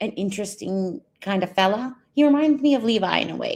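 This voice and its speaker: A woman talks with a Canadian accent. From Canada. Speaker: streamer reacting to another stream. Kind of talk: casual reaction commentary.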